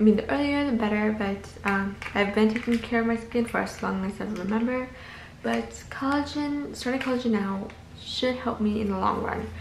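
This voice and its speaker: Against light background noise and audible room echo, a woman with an American accent speaks at a moderate pace, her fairly high pitch showing ordinary variation. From US Midwest (Minnesota). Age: 20s. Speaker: lifestyle vlogger. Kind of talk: vlog monologue. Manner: casual with fillers. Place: home room. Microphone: phone near.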